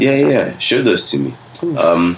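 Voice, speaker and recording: Noticeable background noise sits behind a man speaking. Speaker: former teacher. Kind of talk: casual banter chat. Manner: soft-spoken.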